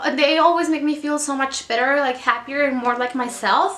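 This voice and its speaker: Over noticeable background noise, a woman with a Mexican accent uses a raised, projected voice at a high pitch. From Mexico. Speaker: book vlogger. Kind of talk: casual monologue. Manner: casual, hesitant with fillers.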